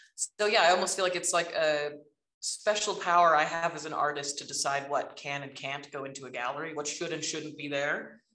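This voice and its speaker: Against a quiet background with audible room echo, a woman speaks at a very deep, low pitch in a bright, sharp tone with fairly even intonation. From Alberta, Canada. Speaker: artist and professor; professor. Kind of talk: casual talk. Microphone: video call.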